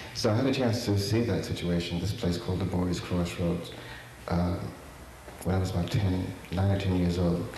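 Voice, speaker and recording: Long, frequent pauses break up a man's very deep, low voice, which has ordinary pitch variation, with audible room echo and noticeable background noise. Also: moderate pace, very even loudness. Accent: American. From New York. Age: 70s. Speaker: artist. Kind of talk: lecture. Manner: halting. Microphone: too quiet.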